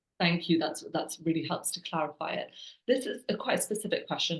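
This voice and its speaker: This woman's voice sits in a middle range and carries a slight breathiness. Its pitch shifts in a usual way. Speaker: webinar moderator. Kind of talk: reading audience questions. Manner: fast.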